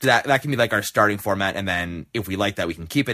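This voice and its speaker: Mumbling at a very fast pace, a man with a fairly low pitch has a bright, sharp tone. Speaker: podcast host. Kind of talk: casual chat. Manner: mumbly.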